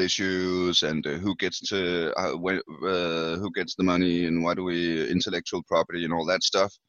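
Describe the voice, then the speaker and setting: A man with a Danish accent. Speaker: podcast host. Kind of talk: casual chat.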